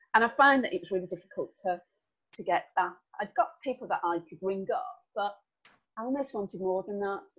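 With a strong Birmingham accent, a woman speaks at a fairly quick pace in a medium pitch, with ordinary pitch variation and big swings in loudness. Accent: Birmingham (Brummy), strong. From Birmingham, England. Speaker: business owner, team development consultant. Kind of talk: interview conversation. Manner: chatty, animated.

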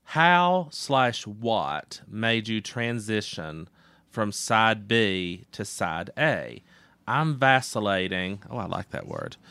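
On a very clean recording with a silent background, a man with an American accent speaks very slowly at medium pitch, with a bright, sharp tone. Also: lively intonation. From Appalachia, US. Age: 30s. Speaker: guest co-host. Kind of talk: casual chat.

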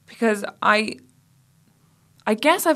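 On a very clean recording with a silent background, a woman speaks with an Irish accent and ordinary pitch variation. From Ireland. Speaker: podcast host, novelist and journalist. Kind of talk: casual chat. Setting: studio.

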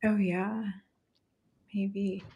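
Somewhat breathy, a woman talks with an American accent. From California. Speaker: homeschooling mom. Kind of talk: casual chat.

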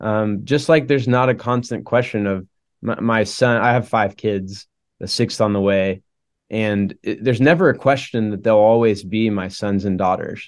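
A man with an American accent has an ordinary speaking voice at a fairly low pitch. He talks at a moderate pace with ordinary pitch variation. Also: quiet background. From Oklahoma. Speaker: campus minister. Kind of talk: casual conversation. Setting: video call.

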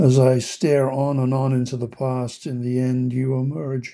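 A man talks at a medium pitch. His pace is fairly slow and his intonation fairly even. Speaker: meditation podcast host reading a poem. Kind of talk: poem reading, gentle guided meditation tone. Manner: slow, tender and contemplative; heartfelt, with soft pauses.

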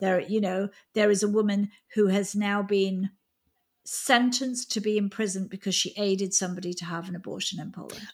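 Somewhat breathy and medium in pitch, a woman speaks at a fairly quick pace in a monotone, flat intonation. The recording is very clean, with a silent background. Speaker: podcast host. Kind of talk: interview conversation.

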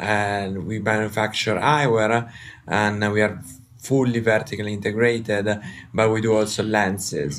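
The delivery moves at a moderate pace with fairly even intonation. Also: man, fairly low pitch for a man. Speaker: company executive, guest. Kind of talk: casual interview conversation. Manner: halting, hesitant with fillers.

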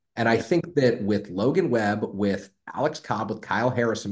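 In a normal speaking voice, a man with an American accent talks at a fairly quick pace. His pitch is fairly low and his intonation lively. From San Francisco, US. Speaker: sports podcast co-host. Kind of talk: casual chat.

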